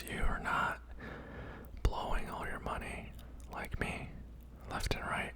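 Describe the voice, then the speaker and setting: Whispering at a fairly slow pace with noticeable background noise. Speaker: ASMR content creator doing a mukbang. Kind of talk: casual talk to camera, ranting opinion commentary. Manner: whispered, soft.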